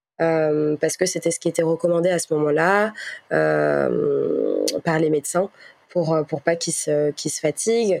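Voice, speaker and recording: The woman speaks at a very slow pace. The sound is dry and close, with no echo. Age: 20s. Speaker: podcast guest sharing personal story. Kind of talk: testimony. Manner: hesitant, many fillers and repetitions.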